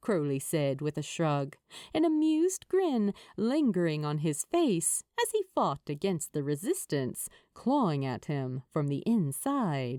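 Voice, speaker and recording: Recorded very cleanly against a silent background, a woman speaks fairly slowly in a dry, close sound with no echo. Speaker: podfic narrator. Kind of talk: fanfiction audiobook reading.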